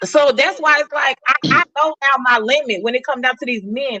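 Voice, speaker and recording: Raised and projected, a woman's high-pitched voice carries an animated tone at a moderate pace, with a dry, close sound and no echo. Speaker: podcast guest. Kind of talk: casual chat. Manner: loud.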